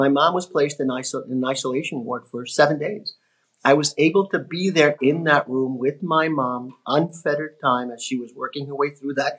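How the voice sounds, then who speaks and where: A man with an ordinary speaking voice, fairly high in pitch, at a moderate pace with fairly even intonation. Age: 60s. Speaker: network marketing business partner. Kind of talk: podcast interview.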